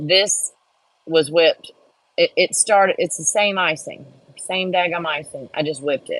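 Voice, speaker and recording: A woman speaks with an American accent at a moderate pace. The sound is dry and close, with no echo. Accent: Texas accent, muddled. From Texas, Houston area. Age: 50s. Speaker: crafter and livestream host. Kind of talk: casual live-stream chat. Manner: casual, chatty.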